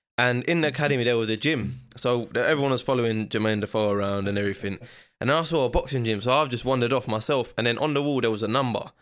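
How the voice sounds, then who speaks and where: A man with a London accent talks very fast at a medium pitch, his pitch varying in an ordinary way. His loudness stays very even on a very clean recording with a silent background. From East London, England. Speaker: professional boxer. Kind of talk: casual chat.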